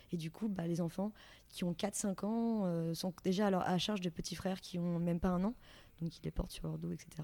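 A woman talks at a moderate pace with fairly even intonation. Her fairly low voice has a dark, mellow tone. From France, Yvelines. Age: 20s. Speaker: aid volunteer. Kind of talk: interview. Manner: halting.

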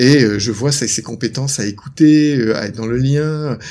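An ordinary speaking voice belongs to this man. His pitch is fairly high, with ordinary pitch variation. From northern France, Lille. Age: 50s. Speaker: couples therapist and author. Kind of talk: interview.

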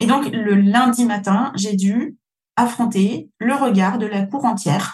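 Somewhat breathy, a woman's fairly high voice shows ordinary pitch variation. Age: 40s. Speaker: podcast host, business coach. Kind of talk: solo podcast monologue.

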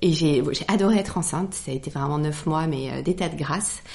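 A woman with a very deep, low voice and vocal fry speaks at a moderate pace with ordinary pitch variation. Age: 40s. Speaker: hotelier. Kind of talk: casual chat.

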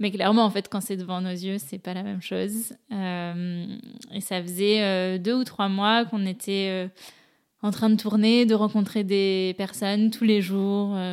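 Speaking fairly slowly, a woman keeps a monotone, flat intonation. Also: medium pitch for a woman. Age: 20s. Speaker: ocean conservation association co-founder. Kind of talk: interview storytelling.

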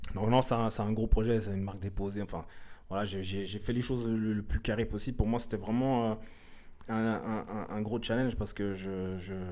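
A man's fairly low voice, dark and mellow in tone, with fairly even intonation and audible room echo. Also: moderate pace. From Switzerland, Lausanne (arrived from Eritrea in 1985). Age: 30s. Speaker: hip-hop dancer. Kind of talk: casual interview. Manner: halting, many fillers and repetitions.

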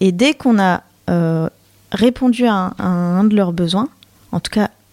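A woman's dark, mellow tone at medium pitch, with ordinary pitch variation, a fairly slow pace and a dry, close sound with no echo. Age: 30s. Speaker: author of a collaborative book. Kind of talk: radio interview. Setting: radio studio.

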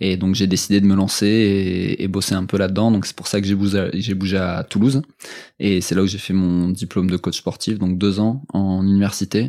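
On a very clean recording with a silent background, a man speaks at a moderate pace in a fairly low pitch, with a dark, mellow tone and monotone, flat intonation. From France, Strasbourg. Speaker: fitness coach. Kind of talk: casual interview.

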